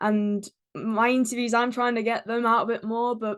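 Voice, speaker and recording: Her accent is English. The woman talks fairly quickly. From England. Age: 20s. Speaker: YouTuber and stage performer. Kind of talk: podcast interview. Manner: hesitant, many fillers.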